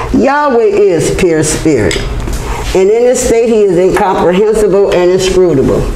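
A woman speaks at a moderate pace with audible room echo and light background noise. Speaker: religious teacher. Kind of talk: sermon-like lecture. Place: hall. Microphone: camera far.

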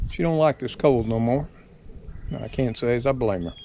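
Through noticeable background noise, a man with a Southern US accent comes across in a dry sound with no echo. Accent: Southern American. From Southern United States. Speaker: home mechanic. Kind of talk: casual talk to camera. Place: garden. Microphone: phone near.

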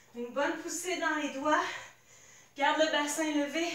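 A woman's high voice at a fairly slow pace, with audible room echo. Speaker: fitness instructor. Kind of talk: workout instruction. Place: home room. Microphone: camera far.

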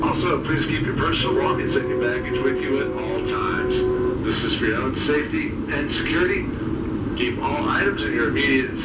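Music sounds in the background while a man talks. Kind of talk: public address announcement. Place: train. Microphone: pa.

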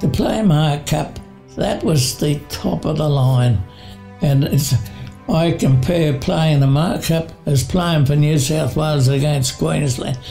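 A man talks at a very slow pace in a fairly high pitch, with ordinary pitch variation. Faint music plays in the background. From Australia. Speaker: former rugby league player. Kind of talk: interview answer. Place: home room.

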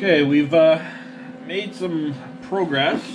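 Very slow speech from a man, noticeable noise in the background. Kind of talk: casual workshop tutorial. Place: workshop. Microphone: phone near.

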